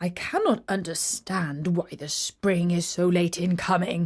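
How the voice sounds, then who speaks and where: A woman's put-on character voice, growling and gruff, fairly low in pitch, at a fairly slow pace. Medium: read story. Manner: blunt, grumbling.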